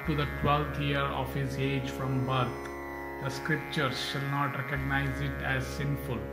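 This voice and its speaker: A man talks fairly slowly while music plays behind him. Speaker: narrator. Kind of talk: scripture reading narration.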